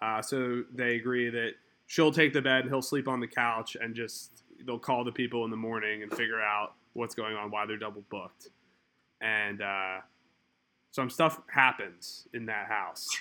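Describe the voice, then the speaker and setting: At a moderate pace, a man with an American accent uses a bright, sharp tone, medium pitch and fairly even intonation. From Philadelphia. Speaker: fantasy football podcast host. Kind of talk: casual chat.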